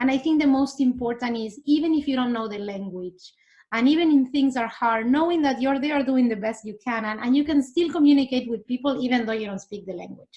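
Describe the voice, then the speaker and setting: Hardly any pauses break this fairly quick delivery, dark and mellow in tone, with ordinary pitch variation. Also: woman, high pitch for a woman. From Argentina. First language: Spanish. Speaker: immigrant interviewee. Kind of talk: interview. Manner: animated.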